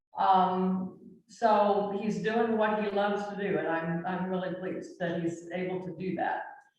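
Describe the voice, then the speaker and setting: In a room with audible echo, a woman of medium pitch speaks fairly slowly in a monotone, flat intonation. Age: 70s. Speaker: worship meeting member. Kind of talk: sharing joys and concerns in worship. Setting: church meeting for worship.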